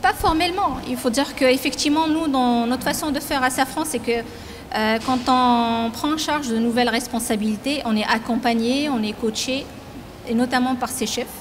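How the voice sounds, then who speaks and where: Over light background noise, a woman with a high pitch talks at a moderate pace with ordinary pitch variation. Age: 40s. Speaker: company president. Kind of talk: interview; interview answer. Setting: factory. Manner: halting. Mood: calm, reflective. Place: factory. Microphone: handheld.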